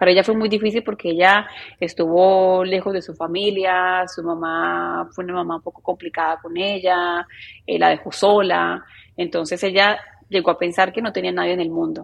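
Monotone, flat intonation from a woman with a fairly low pitch. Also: moderate pace. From Colombia, Medellín. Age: 30s. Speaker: journalist. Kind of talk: interview conversation.

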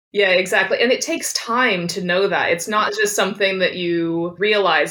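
A woman with an American accent talks at a moderate pace and medium pitch. Noticeable background noise runs behind her. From Kansas, US Midwest. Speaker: travel writer and editor. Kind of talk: interview conversation.

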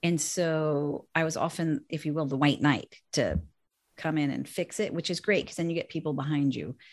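In a very clean recording with a silent background, a woman with a General American accent speaks at a moderate pace with fairly even intonation and a very deep, low pitch. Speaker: business executive and author. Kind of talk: casual chat.

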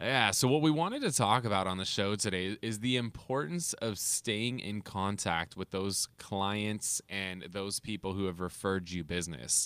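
Here a man has an unremarkable speaking voice, fairly low in pitch with ordinary pitch variation. He goes at a moderate pace with hardly any pauses, on a very clean recording with a silent background. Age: 30s. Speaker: podcast host and realtor. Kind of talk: casual business podcast chat.

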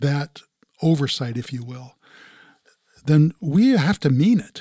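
A man with a fairly high pitch talks at a very slow pace with lively intonation. His tone is dark and mellow, with a dry, close sound and no echo. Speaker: pastor and grandfather. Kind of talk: casual chat.

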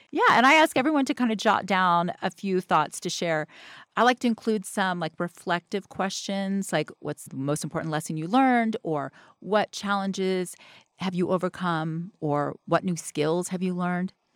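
A woman with an American accent and a plain, everyday voice speaks at a moderate pace and medium pitch with lively intonation, in a very clean recording with a silent background and a dry, close sound with no echo. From US South. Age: 50s. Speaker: memory expert, mother. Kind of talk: casual interview.

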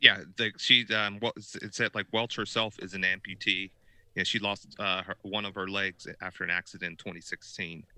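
A man talks at a moderate pace in a fairly low, bright and sharp tone with monotone, flat intonation, recorded very cleanly against a silent background with a dry, close sound and no echo. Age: middle-aged. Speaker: podcast co-host. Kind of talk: casual chat.

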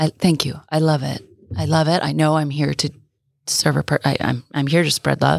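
The sound is dry and close, with no echo at all. A woman talks at a moderate pace. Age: 40s. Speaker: guest, single mother and coach. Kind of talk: casual chat. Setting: studio.

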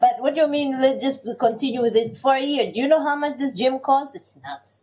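A woman speaks in a high voice with a dark, mellow tone. Her pace is moderate and her pitch varies in an ordinary way. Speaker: podcast co-host. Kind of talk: casual chat. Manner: energetic, animated.

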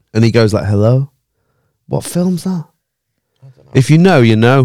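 In a Manchester accent, a man speaks at medium pitch and a moderate pace, his intonation lively and his tone dark and mellow. He leaves long, frequent pauses, and the sound is dry and close with no echo. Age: 30s. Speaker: podcast host. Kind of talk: casual chat.

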